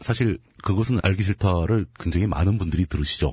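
A man talks with vocal fry at a fairly low pitch. He keeps a moderate pace. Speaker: political commentator. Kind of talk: casual chat. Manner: halting.

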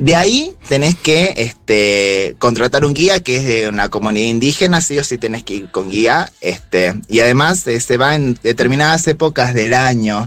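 A man with a plain, everyday voice at medium pitch, lively intonation, a moderate pace, and hardly any pauses. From Jujuy, northwest Argentina. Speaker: local guest recommending travel in Jujuy. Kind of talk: casual chat.

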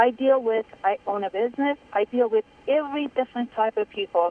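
A woman speaks with a Persian accent at a high pitch. Her pace is moderate and her pitch varies in an ordinary way. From Iran. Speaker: caller, business owner. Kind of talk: phone-in opinion. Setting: phone call.

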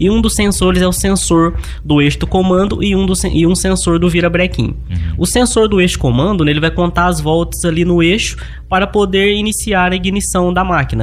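This man talks fairly quickly, with noticeable background noise and audible room echo around him. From Minas Gerais, Brazil (Luz, near Divinópolis). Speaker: agricultural machinery mechanic. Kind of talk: interview.

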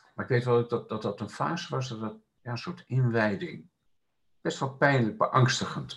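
A somewhat breathy man's voice at a medium pitch. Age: 60s. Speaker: laughter meditation and Sufi dance facilitator. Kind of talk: casual interview.

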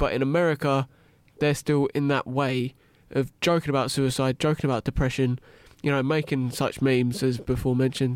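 In an English accent, a man with a medium pitch speaks with monotone, flat intonation and very even loudness, in a dry, close sound with no echo. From England. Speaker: university graduate. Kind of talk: casual discussion.

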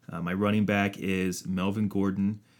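A man with a plain, everyday voice speaks at a moderate pace in a fairly low pitch, on a very clean recording with a silent background. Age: 30s. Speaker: sports podcast co-host. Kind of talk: casual chat.

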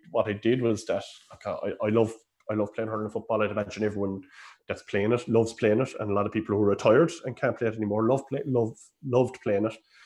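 At a very fast pace, a man speaks at medium pitch with fairly even intonation over a quiet background. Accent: Cork. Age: 30s. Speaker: Gaelic games coach and coaching administrator. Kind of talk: casual interview.

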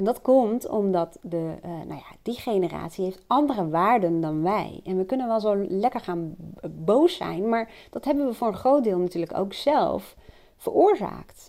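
A woman with a dark, mellow tone at medium pitch, lively intonation, a fairly slow pace, and a very clean recording with a silent background. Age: 40s. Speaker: personal coach. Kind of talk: solo monologue. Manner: hesitant, many fillers.

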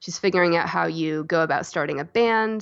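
With an American accent, a woman speaks in a normal speaking voice at a medium pitch with ordinary pitch variation. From US South, North Carolina (Asheville). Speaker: author and illustrator. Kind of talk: interview.

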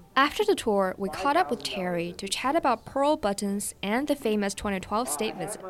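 A woman's fairly high voice swings very widely in pitch while noticeable background noise carries on behind her. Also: moderate pace. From China, Jinan. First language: Mandarin Chinese. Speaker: podcast host and reporter. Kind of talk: scripted narration.

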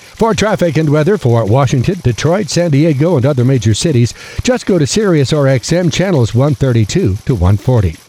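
The energetic, somewhat breathy voice moves at a moderate pace with very wide pitch swings and hardly any pauses. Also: man, fairly high pitch for a man, very even loudness. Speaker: newscaster. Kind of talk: radio newsreading, brisk and polished, crisp anchor delivery with promo reads. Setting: studio. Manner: crisp, formal, steady, energetic.

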